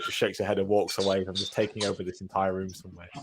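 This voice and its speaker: A man with a British accent talks at a very fast pace. Noticeable background noise runs behind him. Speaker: podcast co-host, fitness business. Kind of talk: casual chat. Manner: loud.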